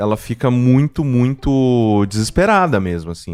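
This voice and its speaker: With an unremarkable speaking voice, a man talks at a fairly slow pace using lively intonation. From Mococa, São Paulo state, Brazil. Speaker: podcast producer and podcaster. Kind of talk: casual chat. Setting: remote call.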